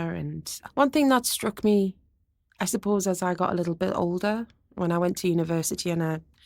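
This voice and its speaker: A woman talks at a fairly quick pace and a medium pitch. Her pitch varies in an ordinary way. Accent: Geordie. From northern England, Gateshead (Tyneside). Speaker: experimental musician and turntablist. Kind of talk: interview conversation. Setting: university campus.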